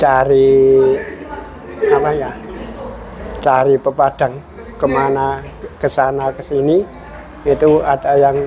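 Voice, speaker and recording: Crowd noise fills the background as a man with a fairly high pitch speaks at a very slow pace, leaving long, frequent pauses. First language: Javanese (speaking Indonesian). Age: 60s. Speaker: folk dance maestro. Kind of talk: interview testimony. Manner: halting, with repetitions.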